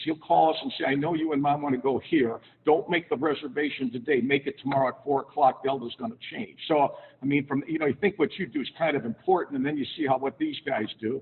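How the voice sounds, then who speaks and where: A man with a plain, everyday voice and an American accent talks at a fairly quick pace with hardly any pauses, pitched fairly high with ordinary pitch variation. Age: 60s. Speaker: sports broadcaster. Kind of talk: after-dinner talk to a club. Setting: club meeting with audience. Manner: conversational, anecdotal.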